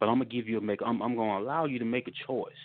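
This man's voice sits at medium pitch, and his intonation stays fairly even. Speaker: pastor and army veteran. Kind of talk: panel discussion on scripture. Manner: halting, many fillers.

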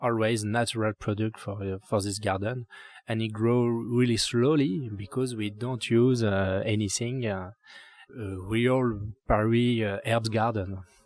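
Speaking in a French accent, a man keeps a fairly slow pace. His pitch is medium, with fairly even intonation. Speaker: urban gardener and landscape architect. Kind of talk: interview. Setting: rooftop garden. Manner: halting.

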